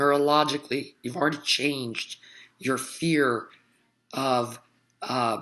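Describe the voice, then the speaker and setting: The voice has a bright, sharp tone, moving at a very slow pace with ordinary pitch variation. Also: woman. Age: 40s. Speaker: healer. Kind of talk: vlog monologue. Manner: casual, with many fillers.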